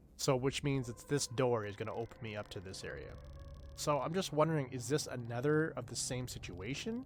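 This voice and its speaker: In an ordinary speaking voice, a man with a Canadian accent talks at a fairly quick pace with medium pitch and ordinary pitch variation. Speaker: gaming streamer. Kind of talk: casual live gameplay commentary.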